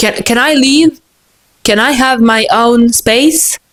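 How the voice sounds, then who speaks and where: Her intonation rises and falls in a lively way. The woman's pitch is fairly high. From France, Moroccan family. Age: 20s. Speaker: vlogger. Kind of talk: casual monologue vlog. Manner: animated, halting with repetitions.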